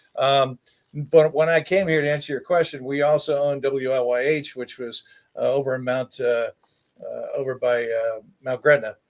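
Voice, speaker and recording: At a fairly high pitch, a man with an unremarkable speaking voice talks at a moderate pace with fairly even intonation, the sound dry and close with no echo. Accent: American. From Baltimore, Maryland. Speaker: TV meteorologist. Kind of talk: casual interview.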